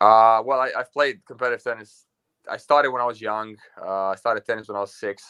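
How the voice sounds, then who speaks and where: At a very fast pace, a man talks with a bright, sharp tone, medium pitch and fairly even intonation. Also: dry, close sound with no echo. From Romania. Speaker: pickleball pro. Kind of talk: interview. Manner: hesitant, many fillers.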